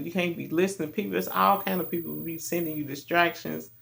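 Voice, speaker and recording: A man is speaking. He has a Kentucky accent. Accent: deep Kentucky. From Kentucky, Louisville. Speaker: self-help vlogger. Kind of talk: motivational talk. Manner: casual, conversational.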